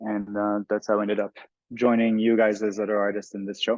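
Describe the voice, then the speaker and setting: In a Quebec French accent, a man talks at a fairly low pitch, the sound dry and close with no echo. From Montreal, Quebec. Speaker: artist and photographer. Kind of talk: panel discussion.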